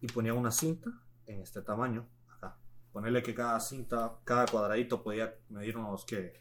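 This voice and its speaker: This is an ordinary speaking voice, with fairly even intonation and a moderate pace. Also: man, medium pitch for a man. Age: 20s. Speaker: former football player. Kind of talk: casual chat. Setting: studio.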